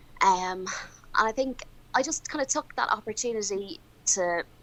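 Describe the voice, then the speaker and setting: A woman is speaking. She has an Irish accent. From Ireland. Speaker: crime scene investigator. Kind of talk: casual chat.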